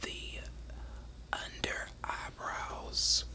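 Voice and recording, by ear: Someone whispers at a very slow pace.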